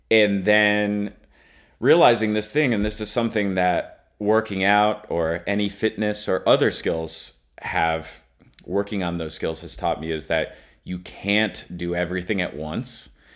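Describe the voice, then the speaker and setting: Recorded very cleanly against a silent background, a man with a fairly low pitch and ordinary pitch variation speaks in a normal speaking voice. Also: fairly slow pace. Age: 30s. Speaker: trombonist and music professor. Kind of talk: casual chat.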